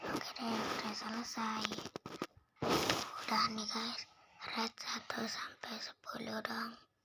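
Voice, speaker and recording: Over noticeable background noise, someone whispers at a very slow pace with long, frequent pauses. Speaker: gaming video creator. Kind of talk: casual gameplay commentary. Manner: whispering.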